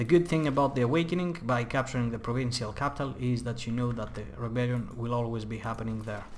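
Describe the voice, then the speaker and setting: A man with a non-native accent at a medium pitch with ordinary pitch variation, very fast with hardly any pauses, in audible room echo and noticeable background noise. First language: not English. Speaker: gaming youtuber. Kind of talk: gameplay tutorial commentary. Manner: casual, with many fillers.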